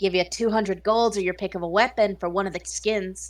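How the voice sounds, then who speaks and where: Using a put-on character voice, a woman speaks at a fairly quick pace and a medium pitch. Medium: actual play. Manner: gruff, blunt.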